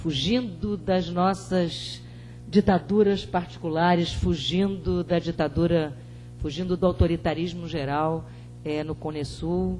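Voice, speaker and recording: Music plays in the background as the speaker goes at a very slow pace. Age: 50s. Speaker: panel speaker. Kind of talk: panel talk. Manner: halting, many fillers.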